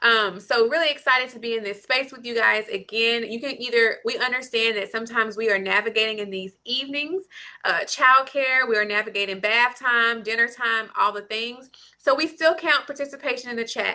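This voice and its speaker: Fairly high-pitched woman, fairly quick pace, bright, sharp tone and big swings in loudness. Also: ordinary pitch variation. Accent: slight Southern US. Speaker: lactation consultant. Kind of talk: live Q&A session. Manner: animated.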